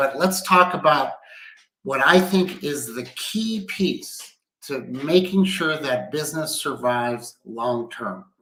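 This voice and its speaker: Lively intonation marks this man's fairly high-pitched voice. His pace is very slow. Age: 60s. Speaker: business executive. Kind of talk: livestream talk. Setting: at home. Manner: conversational.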